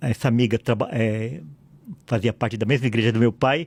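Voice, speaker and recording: The delivery is at a fairly quick pace, with a dry, close sound and no echo. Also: man. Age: 60s. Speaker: pastor and lawyer. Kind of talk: podcast interview.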